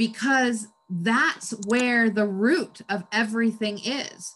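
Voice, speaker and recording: This woman has a plain, everyday voice, pitched fairly high, with ordinary pitch variation. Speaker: podcast host. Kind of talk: podcast conversation.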